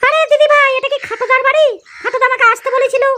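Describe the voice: A woman speaks in a squeaky, cartoonish character voice at an extremely high pitch. Her intonation stays flat and monotone at a fairly quick pace.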